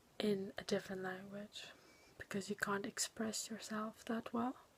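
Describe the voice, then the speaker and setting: A moderate pace with a non-native accent. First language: not English. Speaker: student making a video dissertation. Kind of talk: video diary. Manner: halting.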